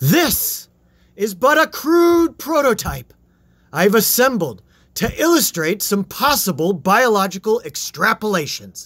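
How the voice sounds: A man does a put-on character voice, high-pitched with big pitch swings, a fairly bright tone and a fairly slow pace.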